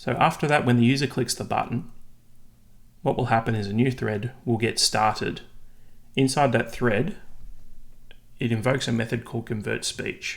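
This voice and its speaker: A man with an Australian accent talks at a moderate pace and medium pitch. His intonation stays fairly even, broken by long, frequent pauses. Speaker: software developer tutorial maker. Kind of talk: tutorial.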